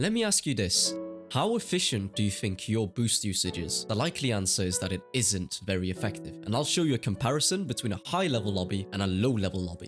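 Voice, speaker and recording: Music plays in the background. Over it, a man with a fairly low pitch talks at a very fast pace. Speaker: competitive gamer and coach. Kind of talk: gaming tutorial narration.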